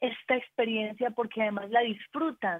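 This woman talks at a fairly slow pace and high pitch with ordinary pitch variation. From Colombia, Antioquia. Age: 40s. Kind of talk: casual chat.

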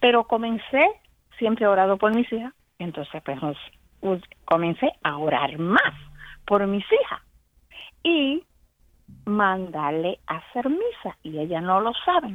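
A woman with a medium-pitched voice speaks at a fairly slow pace, with very wide pitch swings. She leaves long, frequent pauses. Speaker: caller. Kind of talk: phone-in call.

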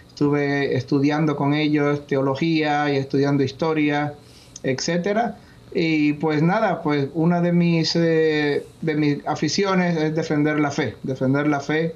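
A man with an ordinary speaking voice talks at a fairly slow pace, his fairly high pitch held in fairly even intonation and his loudness very even. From Puerto Rico. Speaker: retired army officer and intelligence analyst. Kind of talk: interview.

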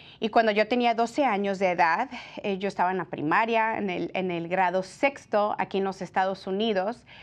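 A woman talks in a plain, everyday voice at a moderate pace, with a medium pitch and ordinary pitch variation. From California, Mexican-American family from Jalisco. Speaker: pro-life TV presenter. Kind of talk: personal testimony. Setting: TV studio.

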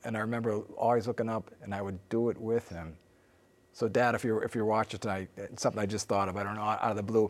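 A man with an American accent talks very fast in a fairly low, monotone voice with flat intonation. The recording is very clean, with a silent background. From US Midwest (northern Illinois). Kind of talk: interview.

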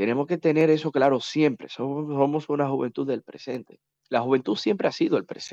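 The man's tone is dark and mellow, his pitch fairly high. He speaks at a moderate pace in a dry, close sound with no echo. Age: 30s. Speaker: politician. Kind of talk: interview.

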